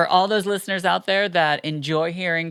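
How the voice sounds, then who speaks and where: The tone is animated and the pace fairly slow, with ordinary pitch variation on a very clean recording over a silent background. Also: woman. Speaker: podcast co-host. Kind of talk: casual chat. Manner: loud.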